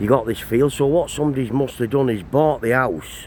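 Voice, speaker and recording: Man with a Cumbrian accent, medium pitch and ordinary pitch variation, moderate pace, noticeable background noise. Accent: northern English (Cumbrian). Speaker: travel vlogger. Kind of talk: walking vlog commentary. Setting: outdoors.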